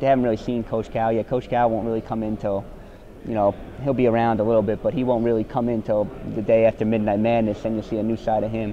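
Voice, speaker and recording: Noticeable background noise accompanies a man with a New Jersey accent. He talks at a medium pitch and a very fast pace, in monotone, flat intonation. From US Northeast, New Jersey. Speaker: college basketball player. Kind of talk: interview. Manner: halting.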